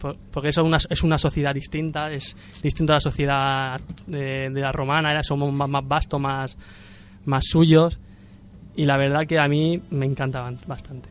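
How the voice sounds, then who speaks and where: At a moderate pace, a man talks at a fairly high pitch with monotone, flat intonation. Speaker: podcast host. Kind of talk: casual chat. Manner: halting, many repetitions.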